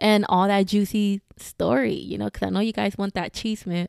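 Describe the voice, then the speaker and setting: A woman with an American accent and an animated tone speaks at a medium pitch and moderate pace, in a very clean recording with a silent background and a dry, close sound with no echo. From Houston, Texas. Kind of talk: casual monologue. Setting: home recording, close microphone.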